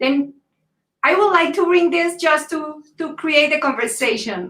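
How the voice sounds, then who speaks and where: A woman speaks at a high pitch and a fairly slow pace. Her tone is bright and sharp, her intonation lively. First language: Spanish. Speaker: panel moderator. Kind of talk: moderated panel discussion on video call.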